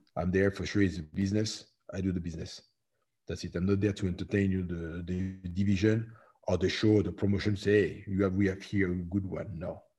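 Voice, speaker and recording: A man's very deep, low, somewhat breathy voice, dark and mellow, flat and monotone, at a fairly quick pace against a quiet background. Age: 40s. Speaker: professional MMA heavyweight fighter. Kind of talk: interview. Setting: remote call from home.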